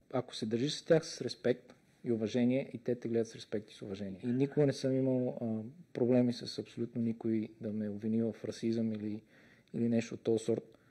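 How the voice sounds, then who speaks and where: Fairly quick speech with a non-native accent and a dark, mellow tone. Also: man, medium pitch for a man, fairly even intonation. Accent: foreign accent in English. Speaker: police detective. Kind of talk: interview. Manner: hesitant, filler sounds.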